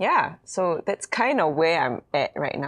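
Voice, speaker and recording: The setting behind this woman is quiet. She talks at a moderate speed. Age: 30s. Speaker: youth pastor. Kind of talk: casual chat.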